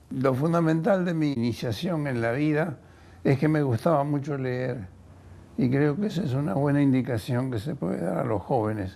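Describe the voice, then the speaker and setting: Intonation here is lively, at a moderate pace. A dark, mellow tone colors the voice. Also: man. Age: 80s+. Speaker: biochemist. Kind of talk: testimony. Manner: halting.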